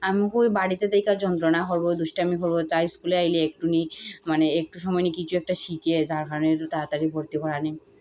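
A woman with a fairly low pitch speaks in a monotone, with flat intonation. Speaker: village lifestyle vlogger and mother. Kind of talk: casual vlog narration.

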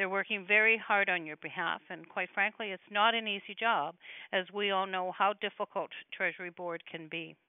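Against a quiet background, a woman talks at a fairly quick pace with fairly even intonation, the sound dry with no echo. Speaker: guest. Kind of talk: prepared address to members. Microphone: phone line.

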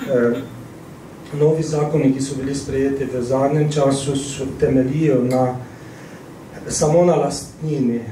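A man speaks in a flat monotone at a fairly high pitch, with audible room echo and light background noise. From Slovenia, Ptuj; Slovenia. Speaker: missionary priest. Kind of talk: interview. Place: hall.

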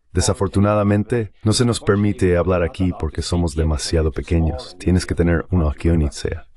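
This man speaks at a fairly quick pace in a very deep, low pitch, with hardly any pauses and very even loudness. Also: ordinary pitch variation. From East Germany. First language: German (speaking Spanish). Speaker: diplomat and politician. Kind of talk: interview.

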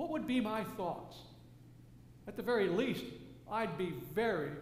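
A man at a moderate pace, high in pitch, with lively intonation and audible room echo

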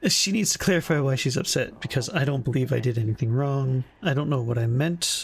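This is a natural reading voice. Its pitch has ordinary variation.

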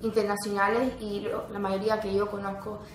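A woman talks at a moderate pace with a medium pitch. Audible echo fills the room.

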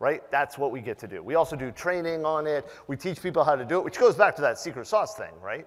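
A man talks at a very fast pace with vocal fry and big swings in loudness. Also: lively intonation, hardly any pauses, quiet background. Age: 50s. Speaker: penetration tester and conference speaker; conference speaker. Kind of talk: conference talk. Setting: stage with audience. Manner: animated. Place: hall.

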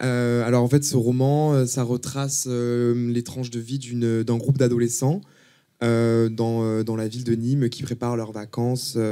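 Against a quiet background, a man speaks in a dark, mellow tone. His pace is fairly slow and his intonation monotone and flat. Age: 20s. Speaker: author and art student. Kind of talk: casual interview. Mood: calm, earnest. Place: studio. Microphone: handheld.

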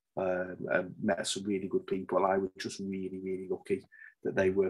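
A man with a Liverpool accent speaks at a moderate pace over a quiet background. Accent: Scouse (Liverpool). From Liverpool, England. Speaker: safety manager and author; podcast guest. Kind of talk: interview conversation. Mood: relaxed, chatty. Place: home room. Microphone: video call.

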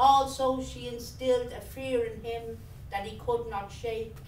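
Over light background noise and audible room echo, a woman with a Dublin accent speaks at a fairly slow pace. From Dublin, Ireland. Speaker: writer. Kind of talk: reading aloud. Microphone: camera far.

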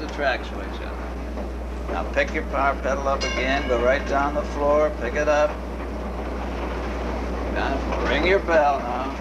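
The speech moves at a fairly slow pace beneath loud background noise. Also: man. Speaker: streetcar driving instructor. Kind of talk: instruction. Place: train. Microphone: old recording.

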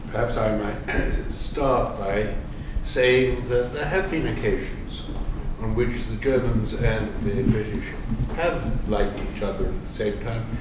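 The man here talks at a fairly slow pace. Audible room echo and noticeable background noise surround him. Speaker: economics professor and panel moderator. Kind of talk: panel discussion. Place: hall.

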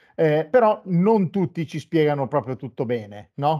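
Speaking at a fairly slow pace in a dark, mellow tone, the voice sits over a quiet background. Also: man. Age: 50s. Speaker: web TV host. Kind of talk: interview. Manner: halting. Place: studio.

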